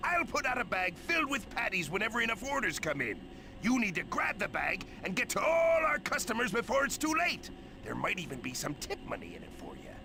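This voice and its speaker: A man's put-on character voice at an extremely high pitch and fairly quick pace over loud background noise. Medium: video game. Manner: gruff, bossy.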